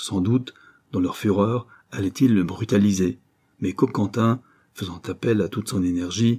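The reading aloud is plain, and the background is quiet.

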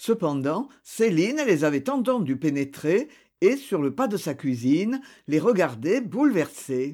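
An unforced reading voice carries this clip.

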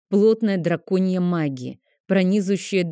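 Unforced reading voice against a quiet background.

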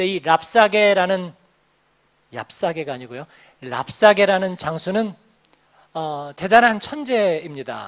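A man's high voice at a very slow pace, with long, frequent pauses and big swings in loudness. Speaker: pastor. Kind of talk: sermon. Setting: church. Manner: conversational with filler sounds.

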